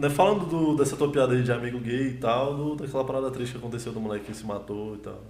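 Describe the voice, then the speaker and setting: A man talks very fast with hardly any pauses and ordinary pitch variation. His loudness swings widely, and the room echo is audible. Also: medium pitch for a man. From Brazil, Ceilândia (Federal District). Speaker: comedian. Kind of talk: casual chat. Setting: livestream.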